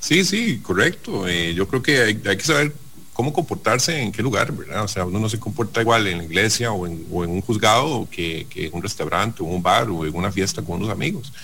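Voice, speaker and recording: A man's plain, everyday voice at a fairly quick pace, lively intonation and hardly any pauses. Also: fairly low pitch for a man. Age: 40s. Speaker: business executive. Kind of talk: radio interview.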